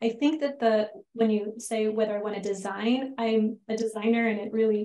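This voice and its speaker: Fairly high-pitched, an unremarkable speaking voice from a woman, moderately paced. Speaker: PhD student presenting research. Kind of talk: academic Q&A discussion.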